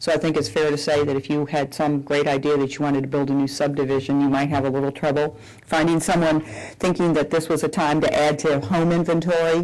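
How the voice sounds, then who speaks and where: A woman with an American accent speaks at a fairly quick pace, her very deep, low voice keeping a fairly even intonation. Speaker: bank executive. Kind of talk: public Q&A.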